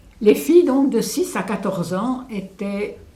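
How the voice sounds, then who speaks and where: Amid audible room echo and noticeable background noise, a woman speaks at a fairly slow pace with lively intonation. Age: 80s+. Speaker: elderly local witness. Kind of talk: testimony interview. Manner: hesitant, with fillers.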